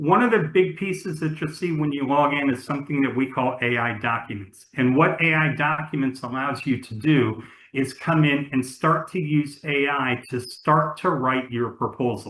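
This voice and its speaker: A man speaks in a plain, everyday voice at a fairly high pitch. His pace is moderate and his pitch variation ordinary. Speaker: webinar panelist presenting software platform. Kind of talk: webinar presentation. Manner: many fillers and repetitions.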